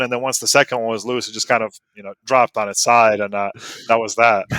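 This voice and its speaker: Very fast speech in a Serbo-Croatian accent, bright, sharp tone, fairly even intonation, dry and close with no echo. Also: man. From US South (North Carolina), born in Bosnia. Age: 30s. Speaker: automotive writer and racer. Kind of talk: casual chat.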